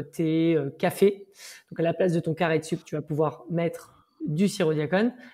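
A woman speaks at a moderate pace with a fairly low pitch. Her tone is dark and mellow, and her intonation fairly even. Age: 30s. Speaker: entrepreneur, startup co-founder. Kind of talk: interview.

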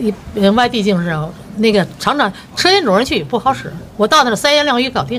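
A woman with a Beijing accent speaks at a very fast pace in a fairly high pitch, her voice making very wide pitch swings. Light background noise runs underneath. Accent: Beijing Mandarin. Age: 70s. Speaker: retired factory worker. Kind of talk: street interview answer. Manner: cheerful, upbeat. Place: street. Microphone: phone near.

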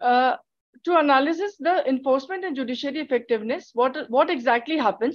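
A woman speaks with a high pitch. Her pitch varies in an ordinary way. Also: quiet background. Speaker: PhD student; conference presenter. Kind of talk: conference presentation. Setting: video call. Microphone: video call.

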